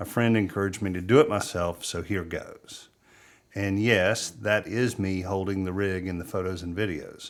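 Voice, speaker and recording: Over a very clean recording with a silent background, a man speaks at a fairly low pitch in a Southern US accent. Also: fairly even intonation, moderate pace. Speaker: wildlife photographer, video creator. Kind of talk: gear review monologue. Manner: conversational.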